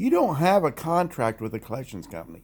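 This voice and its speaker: The pitch of this man's speech swings very widely. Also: very clean recording, silent background. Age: 60s. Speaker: commentary vlogger. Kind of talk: casual monologue. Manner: conversational, some stumbles.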